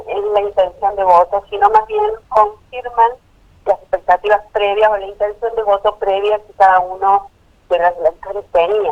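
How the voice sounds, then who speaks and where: A woman's monotone, flat voice at a fairly slow pace over noticeable background noise. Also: medium pitch for a woman. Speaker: polling consultancy director. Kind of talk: interview.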